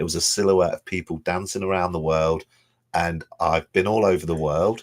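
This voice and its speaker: On a very clean recording with a silent background and a dry, close sound with no echo, a man with a very deep, low pitch speaks at a moderate pace in an English accent. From England, Leicester (Blaby). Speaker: events company owner. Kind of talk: radio interview.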